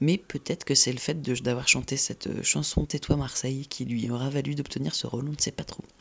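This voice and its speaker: The delivery moves at a fairly quick pace. There are hardly any pauses. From La Rochelle, France. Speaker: radio host. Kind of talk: casual radio show links. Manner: hesitant, many fillers.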